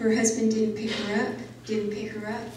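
Audible room echo and light background noise surround a woman speaking in a fairly high pitch with an American accent. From rural Arizona, near Prescott; Arizona. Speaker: journalist and author; journalist. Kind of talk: public talk. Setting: talk with audience, microphone. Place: hall.

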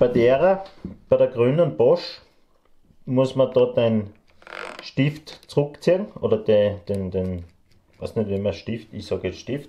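Speaking at a very slow pace with long, frequent pauses, a man uses a dark, mellow tone and lively intonation. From Austria. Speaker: woodworker. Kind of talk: casual Q&A chat. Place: workshop.

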